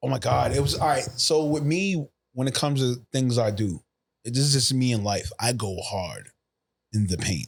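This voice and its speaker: The speaker talks at a moderate pace. The intonation is lively. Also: man, medium pitch for a man. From New York, Queens. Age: 40s. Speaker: actor. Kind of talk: casual chat. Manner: animated.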